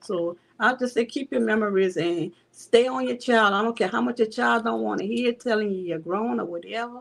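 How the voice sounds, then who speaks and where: At a moderate pace, a woman talks with a New Orleans accent. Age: 60s. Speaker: bereaved mother. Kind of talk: testimony.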